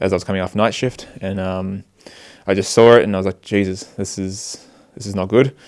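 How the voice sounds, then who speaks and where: This Australian-accented voice comes through on a very clean recording with a silent background. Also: man. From Australia, Sydney. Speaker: volunteer aid worker. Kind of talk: interview. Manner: hesitant, many fillers.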